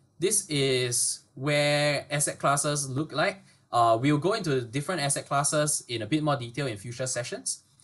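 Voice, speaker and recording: Against a quiet background, a man talks in a somewhat breathy voice with a fairly high pitch. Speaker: webinar presenter. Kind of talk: educational webinar. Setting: online webinar. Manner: fast.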